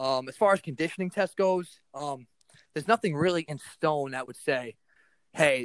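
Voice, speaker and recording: Recorded with a dry, close sound and no echo, a man speaks with ordinary pitch variation. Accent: American. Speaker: strength coach. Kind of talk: casual chat. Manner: energetic.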